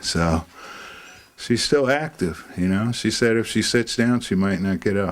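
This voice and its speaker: A man speaks at a fairly slow pace with a fairly low pitch. Background noise is noticeable. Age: 60s. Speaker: family member interviewed. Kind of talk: interview.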